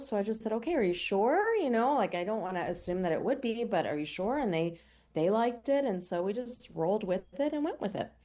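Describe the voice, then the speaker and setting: Pitch swings very widely as a woman talks with an American accent. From US Northeast, Pennsylvania near Philadelphia. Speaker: cookbook author and TV cooking show host. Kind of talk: radio interview.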